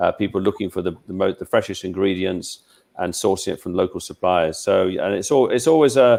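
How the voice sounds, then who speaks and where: In a British accent, a man speaks at a fairly quick pace. The recording is very clean, with a silent background. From England. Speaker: travel expert. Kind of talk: interview about travel. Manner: halting, many repetitions.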